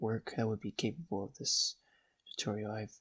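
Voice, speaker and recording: A man at a medium pitch speaks at a fairly slow pace, somewhat breathy, with a dry, close sound and no echo. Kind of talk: software tutorial narration. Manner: hesitant, many filler words.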